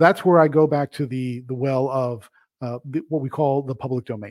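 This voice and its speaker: The speaker is a man with a fairly high pitch. He has a plain, everyday voice. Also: very clean recording, silent background. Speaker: comics publisher and editor, host. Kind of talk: solo video commentary / op-ed. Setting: recorded video, solo. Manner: conversational, casual.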